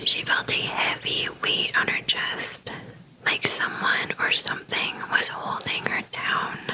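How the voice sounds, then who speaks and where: The words come out as a whisper, very slowly. There is noticeable noise in the background. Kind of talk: read story. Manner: whispered.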